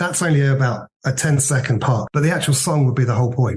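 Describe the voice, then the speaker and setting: A man with a southern English accent, somewhat breathy, at a medium pitch, a fairly quick pace and fairly even intonation. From Worthing, southern England. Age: 50s. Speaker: former band manager, music fan. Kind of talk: interview.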